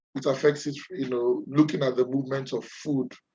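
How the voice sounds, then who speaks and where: A man's dark, mellow voice at a medium pitch, with fairly even intonation and a moderate pace. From Nigeria. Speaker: webinar presenter. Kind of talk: webinar presentation. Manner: halting, many fillers.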